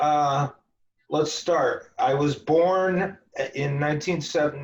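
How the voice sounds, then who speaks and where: Very slow and somewhat breathy, a man speaks in a fairly high pitch with very even loudness and fairly even intonation. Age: 40s. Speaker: esoteric author and Freemason. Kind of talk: interview.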